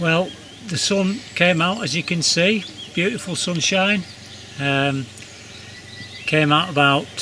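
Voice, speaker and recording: A man talks at a fairly slow pace with lively intonation while noticeable background noise plays. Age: 70s. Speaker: rock climber. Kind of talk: casual vlog talk to camera. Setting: outdoors.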